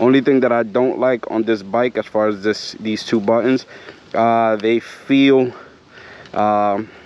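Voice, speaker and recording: A man speaks at a moderate pace in a medium pitch, his intonation flat and monotone. There is noticeable background noise. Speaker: motorcycle vlogger. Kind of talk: casual vlog review while riding. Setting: outdoors riding trails, full-face helmet. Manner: hesitant, many fillers.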